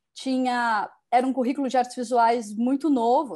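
A woman's fairly slow speech comes through against a quiet background. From Curitiba, Paraná, Brazil. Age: 30s. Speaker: curator and museum director. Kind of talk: interview conversation. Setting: video call. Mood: relaxed, reflective storytelling. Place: home room. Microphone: earbuds.

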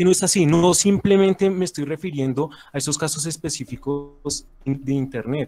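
A man's dark, mellow voice at a fairly high pitch, with ordinary pitch variation, a moderate pace and hardly any pauses. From Colombia. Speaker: anonymous debate opponent. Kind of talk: heated debate. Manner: halting; formal.

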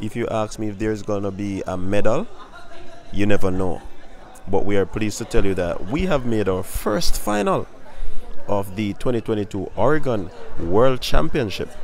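A man talks at a moderate pace and fairly low pitch, with ordinary pitch variation, big swings in loudness and long, frequent pauses. Crowd noise sits in the background, and the sound is dry with no echo. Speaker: track fan commentator. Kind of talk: casual vlog commentary. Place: street.

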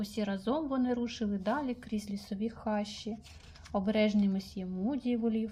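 An unforced reading voice is what comes through.

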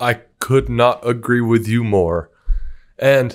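A man speaks at a fairly low pitch with ordinary pitch variation. The background is quiet. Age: 20s. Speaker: interviewer. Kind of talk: interview. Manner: enthusiastic. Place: studio. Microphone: studio mic.

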